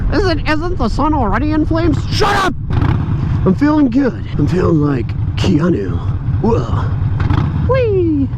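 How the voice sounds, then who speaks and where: A man speaks in an American accent. Audible room echo and noticeable background noise are present. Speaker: motorcycle vlogger. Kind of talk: casual motovlog monologue while riding. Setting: riding a motorcycle, wearing helmet, outdoors. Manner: animated.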